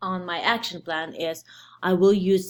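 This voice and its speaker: A woman talks with a non-native accent. Her pitch sits fairly low. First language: not English. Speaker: preschool teacher and student. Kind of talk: class presentation. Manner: halting.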